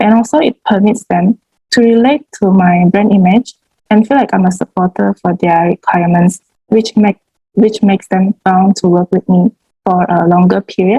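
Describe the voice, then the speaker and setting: A woman with a somewhat breathy voice speaks at a medium pitch and moderate pace, with ordinary pitch variation and very even loudness. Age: 20s. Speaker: student and home baker. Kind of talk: interview. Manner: hesitant, many fillers.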